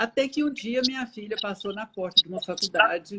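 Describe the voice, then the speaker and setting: A woman with a fairly high pitch and very wide pitch swings. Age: 70s. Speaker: retired teacher, psychology student. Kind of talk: interview.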